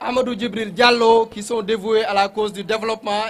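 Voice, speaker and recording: A man speaks with a high pitch and flat, monotone intonation. Noticeable background noise runs underneath. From Senegal, Fouta region (Nabadji). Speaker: official speaker at a ceremony. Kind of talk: formal ceremonial speech. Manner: formal.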